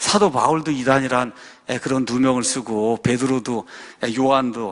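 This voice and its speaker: A man with a fairly high pitch keeps up a moderate pace. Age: 60s. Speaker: pastor. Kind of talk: sermon-style talk. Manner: animated.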